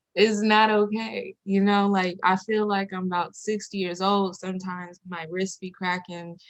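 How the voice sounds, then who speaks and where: A woman with an American accent uses an unremarkable speaking voice, medium in pitch and fairly slow in pace. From San Diego, California. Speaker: rapper and singer. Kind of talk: interview. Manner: casual, many fillers.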